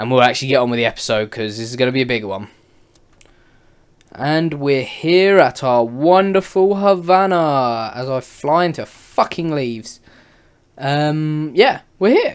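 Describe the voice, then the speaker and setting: With a British accent and lively intonation, a man speaks at a fairly high pitch in a very clean recording with a silent background. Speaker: gaming YouTuber. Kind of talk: gameplay commentary. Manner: casual, rambling.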